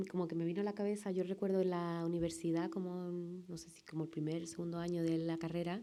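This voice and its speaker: Delivered at a fairly quick pace, this voice has a dark, mellow tone and a Sevillian accent. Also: woman. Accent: Sevillian Andalusian. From Seville, Andalusia, Spain. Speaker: film director. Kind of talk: talk with film clips at a public screening event.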